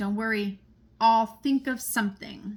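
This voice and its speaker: Putting on a character voice, a woman speaks at a moderate pace with a fairly high pitch. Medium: read story.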